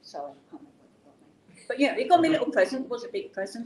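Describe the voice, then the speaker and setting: With an English accent, a woman talks at a very fast pace at a high pitch with very wide pitch swings. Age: 70s. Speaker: business founder and CEO. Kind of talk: personal story in an interview. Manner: conversational, with many fillers.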